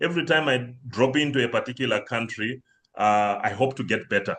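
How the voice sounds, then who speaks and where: A man's medium-pitched, bright, sharp voice with a Zimbabwean accent and ordinary pitch variation. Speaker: banking systems consultant. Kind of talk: webinar presentation. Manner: hesitant, many fillers.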